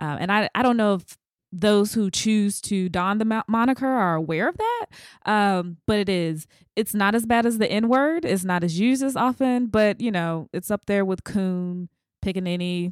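Recorded very cleanly with a silent background and a dry, close sound with no echo, a woman with an unremarkable speaking voice and an American accent talks at a medium pitch and moderate pace, with ordinary pitch variation and very even loudness. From US South. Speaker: podcast host. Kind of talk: interview.

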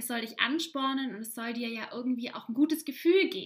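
With noticeable background noise behind her, a woman talks fairly quickly in a high, animated voice with lively intonation. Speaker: podcast host, life coach. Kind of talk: solo podcast monologue.

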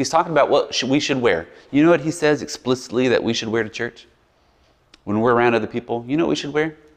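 A man with an American accent talks at a very fast pace with ordinary pitch variation. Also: medium pitch for a man. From US South, Biloxi, Mississippi. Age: 40s. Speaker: pastor. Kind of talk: sermon. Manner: casual, conversational.

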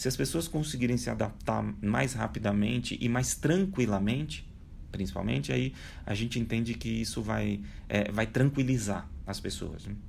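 A man at a moderate pace, with audible room echo. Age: 40s. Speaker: speaker on digital transformation. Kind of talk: interview.

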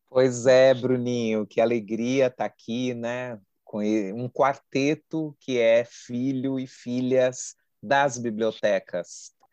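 Against a quiet background, a man speaks very slowly at a medium pitch with flat, monotone intonation, in a dry, close sound with no echo. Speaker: podcast co-host. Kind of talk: podcast interview.

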